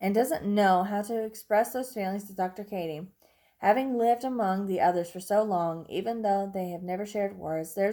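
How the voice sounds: A natural reading voice carries the text, with ordinary pitch variation throughout.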